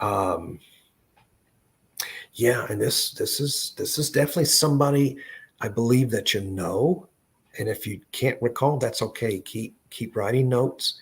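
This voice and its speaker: A man with an American accent speaks at a fairly slow pace, somewhat breathy and medium in pitch. His pitch varies in an ordinary way, and he takes long, frequent pauses. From US South, Tennessee (Memphis). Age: 60s. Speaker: psychic medium. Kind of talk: live psychic reading. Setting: live online stream. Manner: halting.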